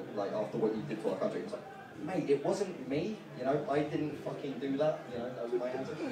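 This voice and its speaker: Amid noticeable background noise, a man talks at a fairly quick pace with lively intonation and fairly high pitch. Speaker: stand-up comedian. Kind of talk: stand-up comedy. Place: bar.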